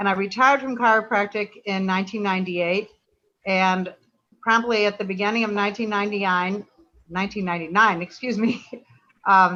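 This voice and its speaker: Bright and sharp in tone, a woman's voice sits at a medium pitch. She talks at a fairly quick pace with fairly even intonation. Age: 70s. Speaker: artist. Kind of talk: virtual artist talk.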